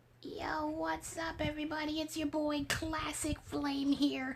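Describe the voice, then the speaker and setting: A put-on character voice, high-pitched, squeaky and raspy, goes at a fairly slow pace. Background noise is clearly heard. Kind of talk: casual.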